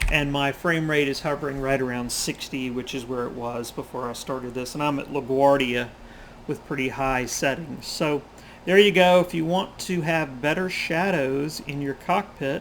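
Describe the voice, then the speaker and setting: At a moderate pace, a man with a fairly high pitch talks in an ordinary speaking voice with ordinary pitch variation. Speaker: flight sim YouTuber. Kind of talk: tutorial. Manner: casual.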